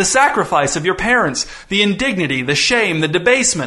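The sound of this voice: In a put-on character voice, a man speaks fairly quickly at a high pitch, with big pitch swings and a bright, sharp tone.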